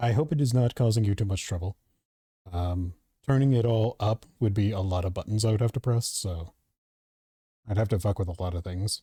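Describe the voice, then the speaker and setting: A soft-spoken man with a dark, mellow, somewhat breathy tone, fairly low in pitch, with long, frequent pauses, on a very clean recording with a silent background. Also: ordinary pitch variation, fairly quick pace, dry, close sound with no echo. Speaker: gaming streamer. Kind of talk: casual live stream chat.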